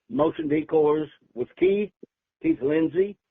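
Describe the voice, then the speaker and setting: A man talks with an American accent. His pitch is fairly high and varies in an ordinary way. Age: 80s+. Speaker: decoy company founder. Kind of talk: podcast interview.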